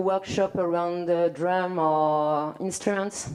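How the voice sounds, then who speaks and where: Speaking very slowly with a French accent, a woman has a dark, mellow tone and a medium pitch with ordinary variation. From France. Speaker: community arts worker. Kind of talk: panel discussion. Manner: halting, many fillers.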